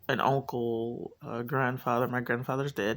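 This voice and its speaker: A woman speaks with a very deep, low pitch and vocal fry. Her pace is fairly slow and her intonation monotone and flat. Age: 30s. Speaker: vlogger. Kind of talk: casual monologue.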